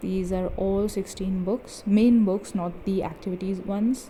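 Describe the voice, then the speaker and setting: Speaking with a non-native accent, a woman has a medium pitch and a dark, mellow tone. Her voice is somewhat breathy, with fairly even intonation. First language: not English. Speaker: book video creator. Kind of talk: bookshelf tour video. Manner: casual, chatty.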